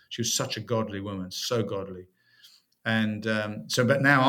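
In a very clean recording with a silent background, a man talks with a fairly low pitch. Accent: British. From UK. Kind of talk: interview conversation about faith.

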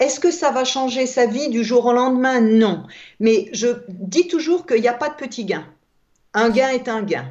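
This woman has a high pitch and lively intonation. She talks at a fairly slow pace. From Alsace, France. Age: old. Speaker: author. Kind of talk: interview. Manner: halting.

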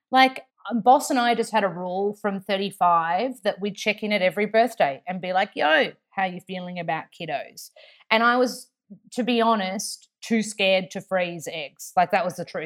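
Speaking with an Australian accent, a woman talks at a medium pitch and a moderate pace with ordinary pitch variation. The recording is very clean, with a silent background. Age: 30s. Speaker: actor, TV host and nutritionist. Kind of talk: interview. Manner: chatty, talkative.

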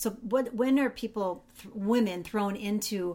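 A woman speaks at a medium pitch with ordinary pitch variation. Her pace is moderate. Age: 50s. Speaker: podcast co-host. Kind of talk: scripted outro; casual interview. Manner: halting with many fillers.

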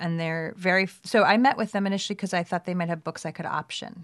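A woman in an American accent and an ordinary speaking voice, medium pitch, fairly even intonation and a fairly quick pace, over a quiet background. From New York City (Brooklyn). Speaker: writer and film producer. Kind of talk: casual interview chat.

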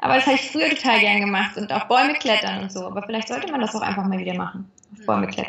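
Speaking at a very fast clip, this woman rushes through her words. Her volume rises and falls dramatically. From western Germany, near Cologne. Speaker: actress. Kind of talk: interview. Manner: cheerful.

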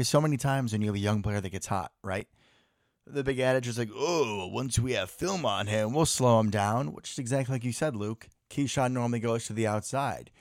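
On a very clean recording with a silent background, an ordinary speaking voice moves at a fairly quick pace with ordinary pitch variation. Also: man, medium pitch for a man. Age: 20s. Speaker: podcast host and nurse. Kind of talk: casual chat. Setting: home basement recording.

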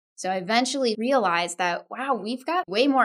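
In an American accent, a woman speaks at a moderate pace with lively intonation and a bright, sharp tone. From Texas, Austin; parents from India. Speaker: organization development consultant and author. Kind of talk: interview.

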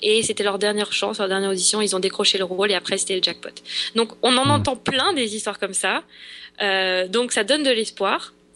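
With a bright, sharp tone, a woman talks at a fairly quick pace, her medium pitch showing ordinary variation. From France. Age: 20s. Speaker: aspiring actress. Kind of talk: interview. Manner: halting.

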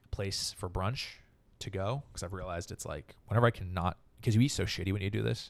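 A plain, everyday voice with an American accent, moving at a fairly quick pace. Pitch varies in an ordinary way, and the recording is very clean with a silent background. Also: man, fairly low pitch for a man. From Northern California, San Francisco area. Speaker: comedian. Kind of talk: casual chat.

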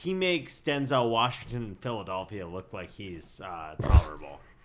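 A man at medium pitch and a moderate pace. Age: 20s. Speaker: podcast guest. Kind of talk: casual chat.

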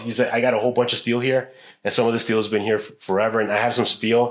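This man has an ordinary speaking voice and an American accent. His pitch sits at a medium level, with fairly even intonation. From Chicago. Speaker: metal sculptor. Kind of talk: casual chat. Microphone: poor sound, ambient recording.

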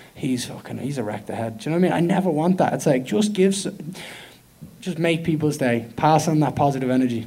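Over noticeable background noise, a man with an Irish accent talks at a very fast pace, with a fairly high pitch and lively intonation. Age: 20s. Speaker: professional MMA fighter. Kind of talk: media day interview. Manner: loud; animated.

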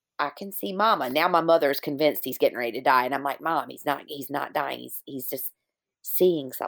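At a moderate pace, the speech comes through a very clean recording over a silent background. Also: woman. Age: 50s. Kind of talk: interview conversation. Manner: animated.

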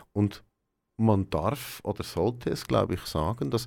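A man speaks with a fairly low pitch, vocal fry and lively intonation, at a fairly slow pace. The recording is very clean, with a silent background. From Switzerland, Aargau. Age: 40s. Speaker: quality and process manager. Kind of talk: radio interview.

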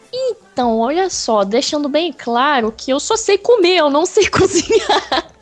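Against noticeable background noise, a woman speaks at a fairly slow pace with hardly any pauses, her high pitch swinging very widely. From Rio de Janeiro, Brazil. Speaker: podcast guest. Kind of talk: casual chat.

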